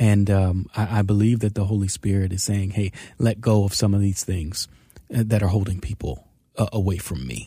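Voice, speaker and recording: A man's fairly low, dark and mellow voice, somewhat breathy, with ordinary pitch variation at a moderate pace on a very clean recording with a silent background. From US, Baltimore, Maryland. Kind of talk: casual chat. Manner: animated, preacherly.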